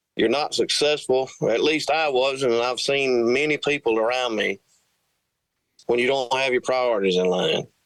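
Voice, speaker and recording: This man talks at a moderate pace in a medium pitch, using an ordinary speaking voice. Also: ordinary pitch variation. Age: 40s. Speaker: country singer-songwriter. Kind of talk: interview.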